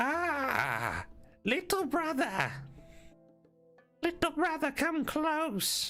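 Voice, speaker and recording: A man uses a squeaky, put-on character voice at an extremely high pitch, speaking very slowly with long, frequent pauses while faint music plays in the background. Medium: actual play. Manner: tender, speaks in short fragile phrases.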